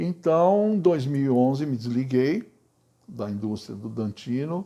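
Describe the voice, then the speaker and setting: Over a quiet background, a man speaks at a fairly slow pace, his pitch swinging very widely. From Brazil, São Paulo city. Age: 70s. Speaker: retired banker and cultural project manager. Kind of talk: personal life story interview.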